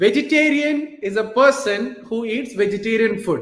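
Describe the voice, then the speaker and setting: A man with a Keralan accent, an extremely high pitch, lively intonation and a fairly slow pace. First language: Malayalam. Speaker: motivational talk show host. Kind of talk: live stream Q&A. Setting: live stream on Facebook and YouTube.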